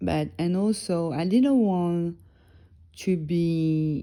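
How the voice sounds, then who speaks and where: A woman speaks in a French accent with a fairly low pitch and ordinary pitch variation. The recording is very clean, with a silent background. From northern France. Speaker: music blogger and podcast host. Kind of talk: casual solo podcast talk. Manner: relaxed, chilled; halting, many fillers.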